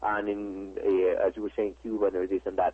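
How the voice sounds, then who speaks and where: A man speaks with a Spanish accent. He keeps a moderate pace. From Mexico. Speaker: advertising executive. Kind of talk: interview. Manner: halting, many repetitions and fillers.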